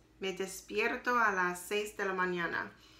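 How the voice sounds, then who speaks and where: Audible room echo surrounds a woman speaking at a medium pitch and a very slow pace. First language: not French (learner) (speaking French). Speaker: language learner video diarist. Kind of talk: spoken practice diary. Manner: halting, many hesitations.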